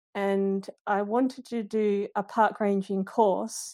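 On a very clean recording with a silent background, a woman with an Australian accent talks at medium pitch in a monotone, flat intonation. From Western Australia, Perth suburbs. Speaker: nature journaling community founder. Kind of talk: casual interview chat. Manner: halting, many fillers and restarts.

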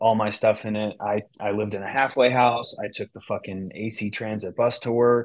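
Against a quiet background, a man with an American accent talks in a normal speaking voice at a moderate pace and medium pitch. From US West Coast, San Francisco Bay Area. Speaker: cannabis business founder and CEO. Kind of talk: interview conversation.

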